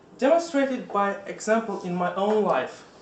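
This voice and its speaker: There is audible room echo along with noticeable background noise. Through it, a man speaks at a high pitch. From Russia. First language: Russian. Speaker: Toastmasters club member. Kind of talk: prepared speech. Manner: halting.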